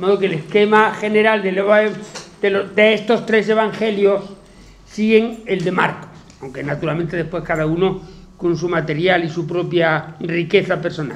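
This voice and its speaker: Long, frequent pauses break up this man's speech. His pitch is high, with ordinary variation. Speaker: teacher giving a talk. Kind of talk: lecture. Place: classroom.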